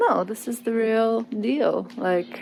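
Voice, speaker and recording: A woman talks over noticeable background noise. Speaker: travel vlogger. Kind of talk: casual vlog talk to camera. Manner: hesitant, many fillers. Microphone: poor audio.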